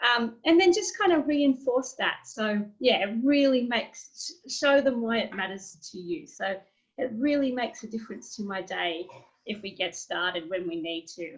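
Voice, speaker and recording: A woman with an Australian accent, fairly high in pitch, with very wide pitch swings. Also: moderate pace. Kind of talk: webinar presentation.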